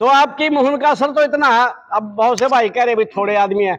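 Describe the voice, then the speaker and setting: At a moderate pace, a man speaks in an extremely high pitch with ordinary pitch variation. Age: 70s. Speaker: local party veteran at village meeting. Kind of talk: public speech at village meeting. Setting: village community meeting.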